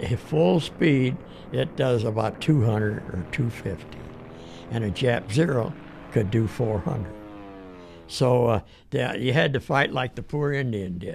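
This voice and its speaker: A man talks at a fairly slow pace and medium pitch, with lively intonation. Long, frequent pauses break up his speech while music plays in the background. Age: 80s+. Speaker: war veteran. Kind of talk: interview answer.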